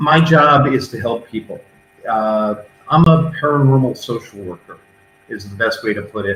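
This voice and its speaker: At a moderate pace, a man speaks in a plain, everyday voice of medium pitch, with ordinary pitch variation and big swings in loudness. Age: 60s. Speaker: paranormal investigator. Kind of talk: interview.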